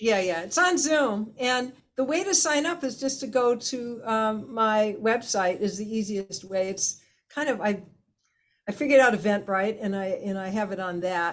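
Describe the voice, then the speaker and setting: Lively intonation marks a woman's speech at a moderate pace. She has an unremarkable speaking voice. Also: fairly high pitch for a woman. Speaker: healing method teacher and facilitator. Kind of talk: interview. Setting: video call.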